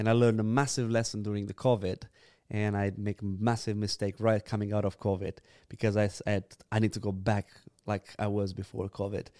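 A man with a Romanian accent speaks fairly quickly at a fairly low pitch in a dark, mellow tone with monotone, flat intonation, on a very clean recording with a silent background and a dry, close sound with no echo. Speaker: church planter, youth leader. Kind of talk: casual chat.

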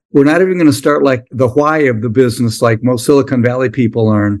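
This is a man with an ordinary speaking voice. His pitch is medium, with ordinary pitch variation. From US Midwest. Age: 60s. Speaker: SaaS entrepreneur and business coach. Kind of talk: interview.

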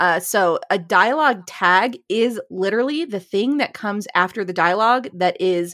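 With lively intonation and a moderate pace, a woman talks in a normal speaking voice on a very clean recording with a silent background. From Ohio, US. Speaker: podcast co-host, author. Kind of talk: casual chat, podcast on writing. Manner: playful, jokey.

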